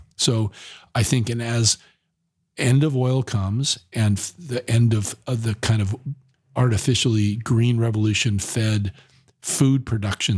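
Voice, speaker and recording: A man speaks at medium pitch with an American accent, somewhat breathy. The pace is moderate and the sound is dry and close with no echo. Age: 60s. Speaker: environmental nonprofit director and activist. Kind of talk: podcast interview. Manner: animated; repetitive stammering.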